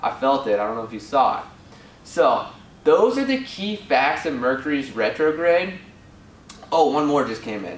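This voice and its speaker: The voice is animated, with very wide pitch swings and big swings in loudness at a moderate pace. Long, frequent pauses break it up, amid noticeable background noise and audible room echo. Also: man, fairly high pitch for a man. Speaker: spiritual guide. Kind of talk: casual video talk.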